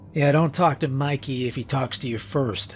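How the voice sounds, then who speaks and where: In a raspy put-on character voice at medium pitch, a man speaks at a moderate pace over clear background noise. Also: ordinary pitch variation. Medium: read story. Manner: grim, matter-of-fact.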